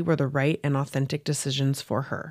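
A woman talks at a moderate pace in a dry, close sound with no echo. The recording is very clean, with a silent background. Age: 30s. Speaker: podcast host. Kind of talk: scripted narration; casual chat.

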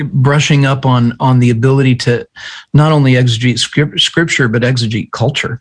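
Somewhat breathy male speech at a medium pitch, moderate in pace, with fairly even intonation and very even loudness. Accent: American. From US, small farming town. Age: 40s. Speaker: pastor and author. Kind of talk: interview conversation. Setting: remote call.

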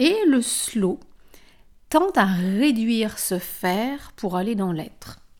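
A woman speaks at a very slow pace, her fairly high pitch making very wide swings. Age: 40s. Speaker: wellness coach and yoga teacher. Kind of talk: solo podcast monologue.

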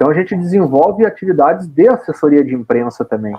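A man's voice with very wide pitch swings. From Brazil, Rio Grande do Sul (Caxias do Sul). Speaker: football radio commentator and club press officer. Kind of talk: casual interview. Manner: animated.

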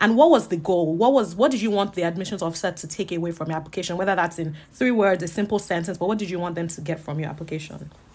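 The voice moves at a very fast pace, somewhat breathy, with ordinary pitch variation. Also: woman, fairly low pitch for a woman. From Nigeria, Lagos. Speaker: podcast host, MBA student. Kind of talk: casual interview.

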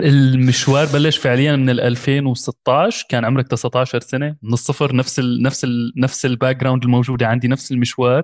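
A man speaks at a moderate pace with a medium pitch and a plain, everyday voice. The sound is dry and close with no echo, the background is quiet, and his intonation stays fairly even. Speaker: podcast host. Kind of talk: casual interview.

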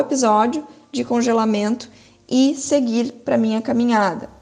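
A woman's high-pitched voice with ordinary pitch variation against noticeable background noise. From southern Brazil, Porto Alegre. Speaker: physiotherapist and researcher. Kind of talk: lecture.

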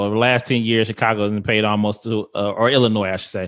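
A man with a medium pitch talks against a quiet background. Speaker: podcast host. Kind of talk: casual group chat podcast discussion.

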